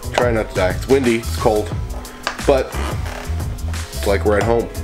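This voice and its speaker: A man at a moderate pace and fairly low pitch, with clear music in the background. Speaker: fishing vlogger. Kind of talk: casual vlog chat. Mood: relaxed, joking. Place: home room. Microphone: phone near.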